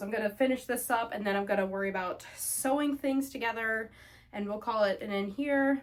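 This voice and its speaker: Over noticeable background noise, a woman with a fairly high voice talks very fast with ordinary pitch variation. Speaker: homemaking vlogger. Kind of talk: casual chat while ironing.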